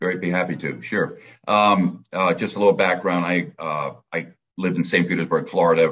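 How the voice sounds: Low in pitch, a man with an American accent speaks at a moderate pace in a fairly bright tone with a slightly husky edge and fairly even intonation.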